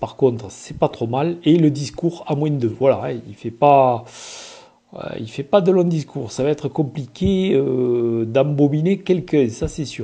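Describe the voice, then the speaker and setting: A man with a fairly high pitch talks at a very slow pace in a dark, mellow, somewhat breathy tone. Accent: southern French. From southern France, Occitanie. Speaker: gamebook reader and reviewer. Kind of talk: casual presentation of a gamebook. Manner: hesitant, many filler sounds.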